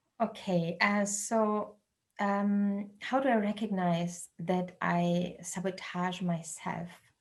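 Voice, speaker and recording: Speaking very slowly with a non-native accent, a woman uses a medium pitch, fairly even intonation, a somewhat breathy quality and very even loudness. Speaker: researcher and dialogue facilitator. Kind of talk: online talk. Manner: halting, many fillers.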